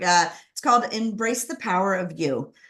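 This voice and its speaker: A woman speaks with a Californian accent. Her pitch is medium. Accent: General American, Californian. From Southern California, Los Angeles area. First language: Spanish. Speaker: author and former corporate lawyer. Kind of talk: interview about personal story.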